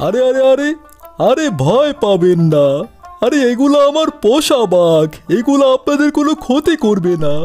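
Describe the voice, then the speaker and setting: A man puts on a cartoonish character voice at an extremely high pitch, speaking at a moderate pace. Faint music plays in the background. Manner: breezy, chatty, reassuring.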